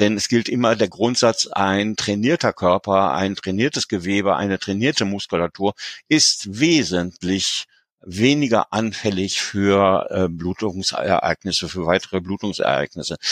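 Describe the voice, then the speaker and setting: A man's ordinary speaking voice, fairly low in pitch, at a fairly slow pace with ordinary pitch variation, dry and close with no echo on a very clean recording with a silent background. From Germany, near Paderborn. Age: 60s. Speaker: patient. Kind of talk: interview.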